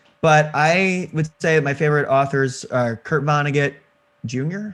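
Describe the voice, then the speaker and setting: The speaker has a Missouri accent and ordinary pitch variation. The pace is fairly slow. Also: man, fairly high pitch for a man. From Missouri, St. Louis. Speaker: indie game developer. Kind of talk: casual interview chat.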